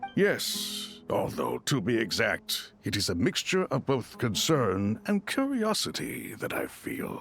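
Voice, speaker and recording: Doing a put-on character voice, a man speaks at a fairly slow pace with a fairly high pitch. Music plays clearly in the background. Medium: video game.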